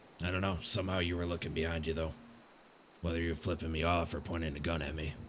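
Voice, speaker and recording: A man puts on a raspy character voice, very deep and low in pitch, with monotone, flat intonation. He races at a very fast pace over clear background noise. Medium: game stream. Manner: aggressive, profane.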